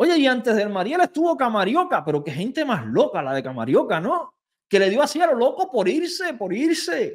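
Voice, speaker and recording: Against a quiet background, a man talks at a moderate pace in an extremely high pitch. His animated tone swings very widely in pitch. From Cuba. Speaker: YouTuber and political commentator; YouTuber, political commentator. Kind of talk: reaction video commentary. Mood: indignant, sarcastic rebuttal. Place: studio. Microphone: studio mic.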